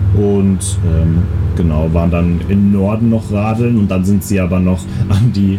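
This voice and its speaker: Fairly even intonation comes through amid noticeable background noise and audible room echo. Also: man, very even loudness. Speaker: podcast co-host. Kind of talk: casual chat. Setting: outdoors on holiday balcony.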